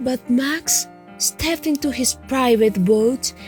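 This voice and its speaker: Music plays in the background as the speaker goes at a very slow pace with ordinary pitch variation. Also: woman. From Colombia. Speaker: storyteller. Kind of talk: children's story reading.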